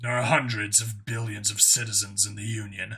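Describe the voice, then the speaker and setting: A man's put-on character voice, raspy and medium in pitch, at a moderate pace. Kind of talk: audiobook character voice. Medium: read story. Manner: formal, measured, devoted.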